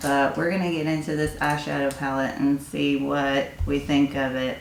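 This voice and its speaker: With a Tennessee accent, a woman speaks in a very deep, low pitch and a monotone, flat intonation, amid audible room echo and noticeable background noise. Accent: Southern US (Tennessee). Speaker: beauty YouTuber. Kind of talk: casual makeup review.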